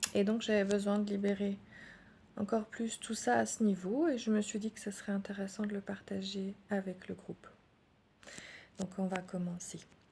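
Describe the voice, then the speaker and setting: Soft-spoken and somewhat breathy, a woman with a dark, mellow tone talks at a medium pitch with fairly even intonation and long, frequent pauses. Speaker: energy healer. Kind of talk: guided meditation. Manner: slow.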